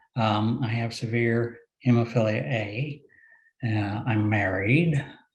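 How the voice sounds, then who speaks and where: Somewhat breathy and with ordinary pitch variation, a man talks at a very slow pace. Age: 60s. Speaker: retired lawyer, panelist with hemophilia. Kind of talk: personal testimony on webinar panel.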